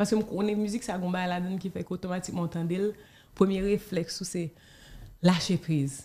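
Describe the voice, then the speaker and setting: The voice has a dark, mellow tone and is somewhat breathy, moving at a fairly quick pace with fairly even intonation and long, frequent pauses. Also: woman, medium pitch for a woman. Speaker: film director and actress. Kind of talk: interview. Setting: studio.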